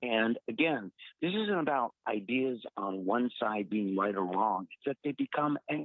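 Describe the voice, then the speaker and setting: Using a plain, everyday voice, a man speaks at a moderate pace and medium pitch with lively intonation. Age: 60s. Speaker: radio show host. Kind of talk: political talk radio.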